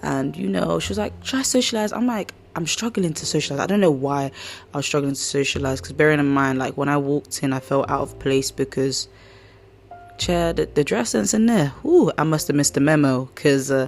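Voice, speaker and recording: Over music in the background, a woman with a very deep, low pitch talks at a fairly quick pace in an animated tone, her pitch swinging very widely. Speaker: podcast host. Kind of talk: casual chat.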